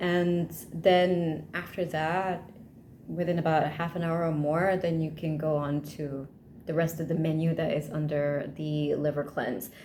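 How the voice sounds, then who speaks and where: With audible room echo, a woman with a very deep, low voice and a dark, mellow tone speaks at a fairly slow pace in a monotone, flat intonation. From Malaysia. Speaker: vlogger. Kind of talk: casual vlog talk.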